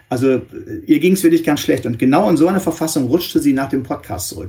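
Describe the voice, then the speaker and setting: A man rattles along very fast, with ordinary pitch variation. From northwestern Germany. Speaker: press spokesman and journalist for a victim support organisation. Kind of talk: interview.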